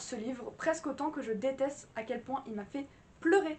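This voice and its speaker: Noticeable background noise sits behind this woman. Her voice is high and animated in tone, moving at a fairly quick pace. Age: 20s. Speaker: book vlogger. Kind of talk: casual vlog review.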